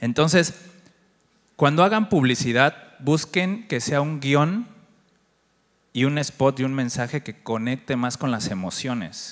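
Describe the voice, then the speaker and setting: Over a quiet background, a man with a medium pitch and lively intonation speaks, leaving long, frequent pauses. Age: 40s. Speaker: agency director and conference speaker; conference speaker. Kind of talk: conference talk. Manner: conversational, interacts with audience. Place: stage. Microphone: handheld.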